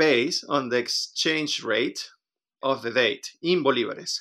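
A man with a Spanish accent speaks at a very slow pace with ordinary pitch variation. His tone is bright and sharp, on a very clean recording with a silent background. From Venezuela. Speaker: interviewee sharing personal experience. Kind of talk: casual interview.

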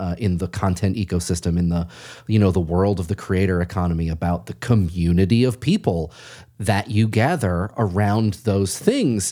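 A man speaks with an American accent in a very deep, low pitch. His tone is dark and mellow, with ordinary pitch variation. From Massachusetts. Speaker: podcast host. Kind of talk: interview.

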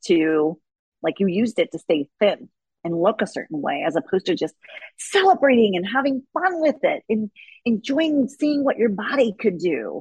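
Her pitch swings very widely around a medium level. This woman sounds somewhat breathy and keeps a moderate pace. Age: 40s. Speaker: fitness coach and gym owner. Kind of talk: casual interview chat.

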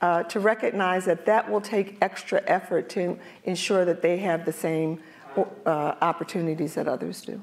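A woman with an American accent talks at a moderate pace in a fairly low voice with ordinary pitch variation. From US, North Philadelphia. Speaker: corporate diversity executive. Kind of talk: panel interview on stage. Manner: halting, repeats words.

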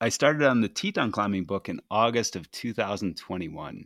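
Recorded very cleanly against a silent background, a man with an unremarkable speaking voice talks at a fairly low pitch with lively intonation, the sound dry and close with no echo. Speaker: podcaster and climber. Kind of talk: casual interview. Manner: casual, expressive, profane.

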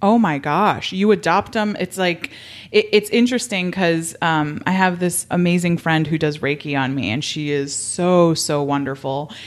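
A woman's fairly low-pitched voice with an American accent at a moderate pace, a plain, everyday voice. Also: ordinary pitch variation. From Miami, Florida. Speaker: podcast host. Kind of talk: casual interview conversation.

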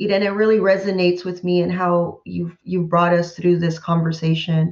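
A woman talks at a moderate pace with fairly even intonation and medium pitch. Hers is a plain, everyday voice. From California Central Valley. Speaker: university professor. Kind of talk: panel conversation.

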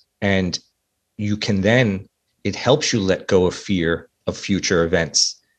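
A man's very deep, low voice with an American accent, very slow, with ordinary pitch variation. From US Northeast, New York City. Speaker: life coach and author. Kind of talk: interview conversation.

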